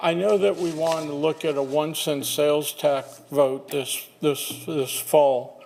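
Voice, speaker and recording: Noticeable background noise sits behind a man's voice. He speaks at a fairly high pitch with fairly even intonation. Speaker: public speaker, former county commissioner. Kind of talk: public comment. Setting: podium microphone at meeting. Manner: halting.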